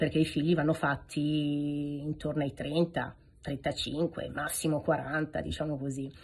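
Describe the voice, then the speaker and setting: A woman speaks in a very deep, low pitch with monotone, flat intonation. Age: 40s. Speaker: video host. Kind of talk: casual vlog address to viewers. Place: home room. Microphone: phone near.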